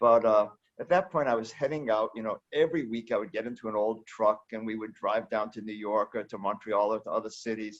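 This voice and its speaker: A plain, everyday voice from a man, medium in pitch with ordinary pitch variation, at a fairly quick pace with hardly any pauses, against a quiet background. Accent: American. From United States. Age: 60s. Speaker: founder of a book center. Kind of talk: interview.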